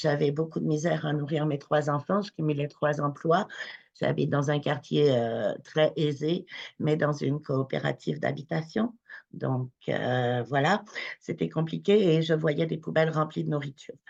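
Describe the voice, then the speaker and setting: A woman with a very deep, low voice and vocal fry talks at a fairly slow pace. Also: ordinary pitch variation. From France. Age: 40s. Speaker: charity founder. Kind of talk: webinar talk, personal testimony. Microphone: connection problems.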